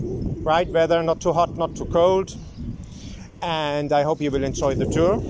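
A man talks fairly slowly while loud noise fills the background. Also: dry sound with no echo. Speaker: cyclist vlogger. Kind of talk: casual vlog chat. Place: bicycle. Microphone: phone near.

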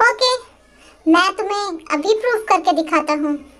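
The voice has an extremely high pitch. It moves at a fairly slow pace. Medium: fan dub. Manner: stubborn, defensive, cocky.

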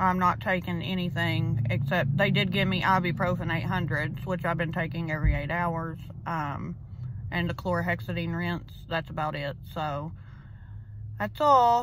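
In a dry recording with no echo and light background noise, a woman with vocal fry speaks at a fairly low pitch and moderate pace with ordinary pitch variation. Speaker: vlogger. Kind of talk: casual vlog chat. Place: car. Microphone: phone near.

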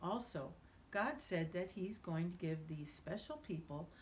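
Over light background noise, a woman speaks at a moderate pace with lively intonation, somewhat breathy. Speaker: author reading her own book. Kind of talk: children's bedtime story reading. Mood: gentle, warm bedtime storytelling. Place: home room.

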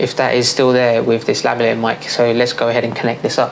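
A man talks at a fairly quick pace. Clear background noise runs under his voice.

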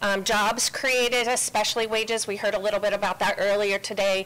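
Bright, sharp female voice with fairly even intonation. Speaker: policy institute president; presenter. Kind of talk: committee testimony. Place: hall. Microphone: podium.

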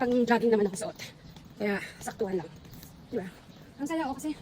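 A woman talks in a high pitch with lively intonation. Noticeable background noise runs underneath. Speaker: vlogger. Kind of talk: walking vlog. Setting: outdoors.

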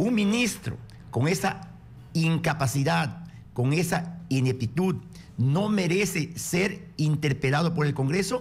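The intonation is lively over vocal fry, and loudness stays very even. The pace is very slow. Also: man, fairly high pitch for a man. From Peru, Amazonas. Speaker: congressman. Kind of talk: political radio interview. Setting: radio studio. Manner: forceful.

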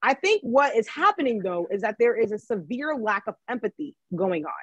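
A woman with an American accent and a high pitch speaks at a fairly quick pace with very wide pitch swings, in a dry sound with no echo and a quiet background. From Maryland, US. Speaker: economist and book editor. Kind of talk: virtual book talk interview. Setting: video call. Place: home room. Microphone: video call.

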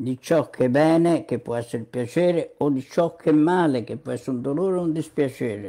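A man's fairly high-pitched voice with a dark, mellow tone, ordinary pitch variation and a fairly quick pace, against a quiet background. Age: 80s+. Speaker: online commentator on psychology and medicine; online commentator on psychology. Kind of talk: monologue commentary. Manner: frequent filler sounds (mm, hm). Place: home room. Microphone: webcam.

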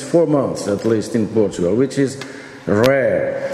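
Audible room echo and light background noise around a man's voice. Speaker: panel chairman giving a conference address. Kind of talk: formal speech. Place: hall. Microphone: podium.

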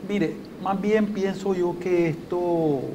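Over noticeable background noise, a man speaks at a high pitch. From Nicaragua. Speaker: consumer agency methodologist; guest. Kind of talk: TV interview. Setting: TV studio. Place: studio. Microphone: lapel.

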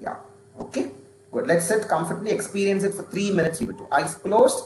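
A man talks in an animated tone with an Indian accent. Light background noise and audible room echo are present. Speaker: stress management trainer. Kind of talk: guided breathing meditation, calm and instructive. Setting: video call. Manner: slow, calm, gently paced; interactive, animated, encouraging. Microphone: video call.

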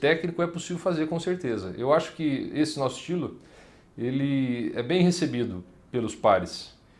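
This man talks at a fairly slow pace, with vocal fry in his voice. His pitch sits fairly high, and his intonation is lively. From Paraná, Brazil (Maringá); Paraná, Brazil. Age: 30s. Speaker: state legislator; politician interviewee. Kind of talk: interview. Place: office.

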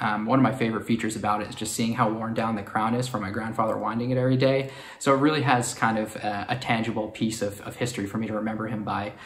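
A man with an American accent, very fast and monotone with flat intonation, in a room with audible echo. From New York City. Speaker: watch collector. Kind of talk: personal story to camera. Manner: hesitant with fillers. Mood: warm, fond. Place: home room.

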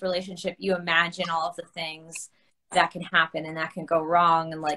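In a bright, sharp tone, a woman talks at a moderate pace over a quiet background. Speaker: guest. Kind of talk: interview answer. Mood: friendly, laughing at times. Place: home room. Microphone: video call.

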